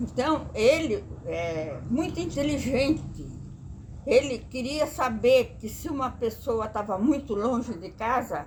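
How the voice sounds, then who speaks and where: Very slowly and at a high pitch, a woman speaks with lively intonation and big swings in loudness. Audible room echo surrounds her voice. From Brazil, rural Vale do Paraíba near Jacareí, São Paulo state. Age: 80s+. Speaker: grandmother sharing life memories. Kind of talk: oral history interview. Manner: halting, with repetitions.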